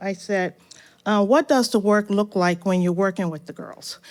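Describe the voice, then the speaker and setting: In a very clean recording with a silent background, a woman with a normal speaking voice talks at medium pitch and moderate pace, with ordinary pitch variation. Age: 60s. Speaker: audience member, retired teacher and author. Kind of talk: audience question at live event. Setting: stage event with live audience.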